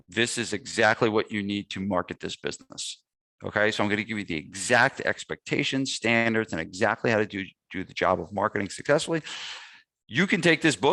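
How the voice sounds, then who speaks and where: The voice has a New Jersey accent and a bright, sharp tone, moving at a fairly quick pace in a dry, close recording with no echo. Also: man. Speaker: gym owner and fitness business marketing coach. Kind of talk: webinar sales pitch. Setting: webinar. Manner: casual, with many fillers.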